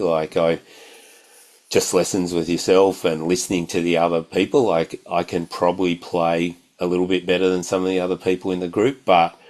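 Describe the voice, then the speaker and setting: A man with a very deep, low pitch talks in monotone, flat intonation at a moderate pace. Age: 60s. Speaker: guitar student. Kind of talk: interview testimony. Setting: video call. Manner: halting.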